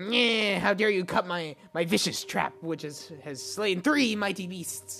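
A put-on character voice at a middle pitch moves at a fairly slow pace with hardly any pauses. Faint music plays in the background. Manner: indignant, outraged.

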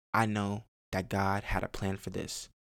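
Heard on a very clean recording with a silent background, the speaker has an American accent. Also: man. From Chicago, later Texas. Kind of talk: solo podcast monologue. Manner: halting, many repetitions and fillers.

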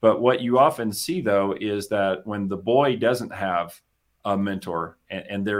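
In a very clean recording with a silent background, a man speaks with an American accent. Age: 50s. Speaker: business coach. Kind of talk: casual chat. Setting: studio.

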